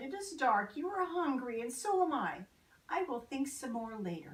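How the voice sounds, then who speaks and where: A put-on character voice that sounds female, high in pitch and gentle in tone, with very wide pitch swings. It moves along at a moderate pace. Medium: read story. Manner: gentle, fussing.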